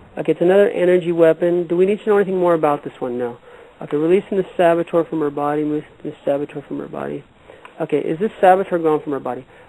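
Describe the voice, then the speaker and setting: A man with an American accent talks at a very fast pace and a high pitch. His pitch varies an ordinary amount, and there is noticeable background noise. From California. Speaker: radio host and energy healer. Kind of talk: call-in healing show.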